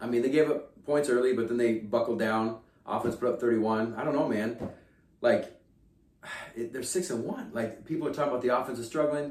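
Speaking at a fairly quick pace in an animated tone, a man with an American accent is heard with audible room echo. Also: medium pitch for a man, ordinary pitch variation. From Kansas. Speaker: sports podcast host. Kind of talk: casual chat.

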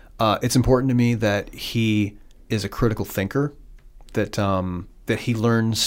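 A moderate pace and fairly even intonation in a Midwestern US accent, on a very clean recording with a silent background. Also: man. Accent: US Midwest. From Iowa. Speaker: communications director and author. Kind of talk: casual interview. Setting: in person, guest's city.

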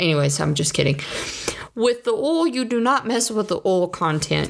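A woman with a Southern US accent. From US South. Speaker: podcast host. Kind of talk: casual monologue.

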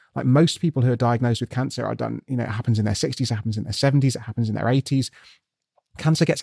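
A man with a British accent talks very fast at medium pitch with ordinary pitch variation, his tone dark and mellow and the sound dry and close with no echo. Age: 30s. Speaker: scientist. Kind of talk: interview.

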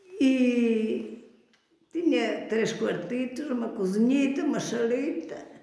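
Speaking very slowly, a woman with a high voice uses ordinary pitch variation, and audible room echo surrounds her. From Portugal, Canas de Senhorim (Beira Alta). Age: 80s+. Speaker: grandmother sharing life memories. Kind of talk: oral history interview. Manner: halting, repetitive.

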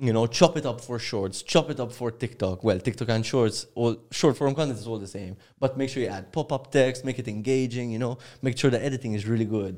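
A man speaks fairly quickly in a plain, everyday voice, medium in pitch with ordinary pitch variation. The recording is very clean, with a silent background. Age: 20s. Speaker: YouTube content creator. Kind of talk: casual interview chat.

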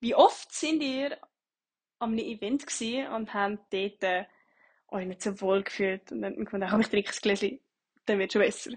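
A woman of medium pitch talks at a moderate pace, sounding somewhat breathy. She leaves long, frequent pauses. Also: ordinary pitch variation. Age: 20s. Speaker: bartender, podcaster. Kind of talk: solo monologue podcast. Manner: casual, hesitant.

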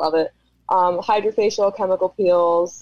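A woman speaks at a moderate pace with fairly even intonation and medium pitch. She has a plain, everyday voice. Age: 20s. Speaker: esthetician and social media creator. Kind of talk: casual chat.

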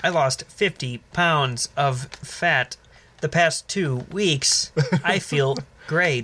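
This man puts on a robotic character voice at a fairly high pitch. He speaks at a very slow pace. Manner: cheery, sales-like.

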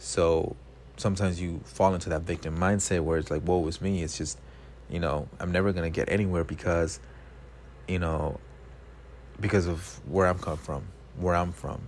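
A very deep, low-pitched man's voice with an American accent and vocal fry, ordinary pitch variation and long, frequent pauses. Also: moderate pace. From South Los Angeles, California. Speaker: podcast host, personal trainer. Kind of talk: solo monologue, casual. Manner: hesitant, many fillers.

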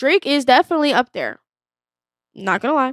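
A woman speaks at a very fast pace in an animated tone. The recording is very clean, with a silent background. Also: dry, close sound with no echo. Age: 20s. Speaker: podcast co-host. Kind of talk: casual chat.

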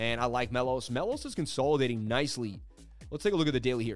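A man speaks. Music plays in the background. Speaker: crypto livestream host. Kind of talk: casual, chart-analysis commentary. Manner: fast talker.

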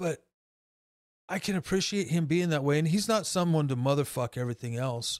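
A normal speaking voice, this man has an American accent and a fairly high pitch. He keeps a moderate pace with ordinary pitch variation. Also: dry, close sound with no echo. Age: 50s. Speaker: tattoo artist. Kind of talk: casual chat.

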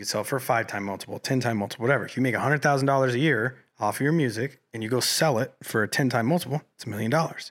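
A man at medium pitch speaks at a very fast pace, hardly pausing, with ordinary pitch variation. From Colorado. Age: 20s. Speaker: independent musician. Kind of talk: casual chat. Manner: animated.

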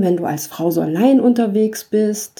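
Medium pitch and a dark, mellow tone in a woman's voice. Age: 40s. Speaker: podcaster, backpack traveller. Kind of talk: monologue podcast.

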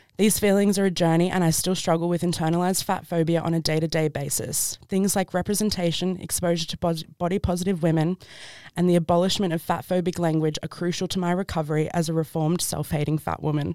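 A woman with an Australian accent talks at a very fast pace with hardly any pauses, her fairly low voice monotone and flat, on a very clean recording with a silent background. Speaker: podcast co-host. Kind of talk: casual chat.

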